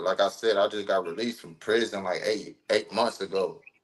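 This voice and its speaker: Speaking at a moderate pace, a man talks in an American accent. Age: 30s. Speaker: rapper. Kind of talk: interview. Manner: casual.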